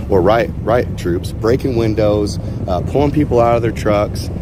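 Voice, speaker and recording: Speech from a man, with audible room echo and noticeable background noise. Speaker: convoy protester. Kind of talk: casual street conversation. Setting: outdoors on a sidewalk.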